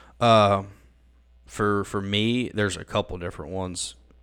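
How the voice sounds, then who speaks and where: A man speaks at a fairly low pitch with a Southern US accent. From Mississippi. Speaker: college pastor. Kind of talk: casual chat.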